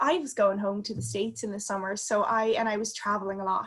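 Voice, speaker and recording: A woman with an American accent, at a fairly quick pace. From US, Connecticut. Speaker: consultant. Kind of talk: interview.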